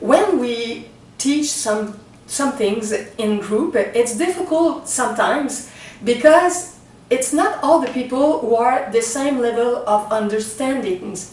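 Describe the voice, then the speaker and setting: Intonation is lively at a very slow pace, with audible room echo. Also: woman. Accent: Quebec. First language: French. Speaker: spiritual teacher. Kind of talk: talk to camera introducing a spiritual reading. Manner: slow, halting with many fillers.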